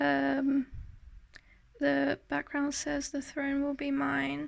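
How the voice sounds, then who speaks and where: Speaking at a very slow pace, a woman is heard. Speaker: artist showing sketchbook. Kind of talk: casual tutorial-style show and tell. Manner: hesitant, many fillers.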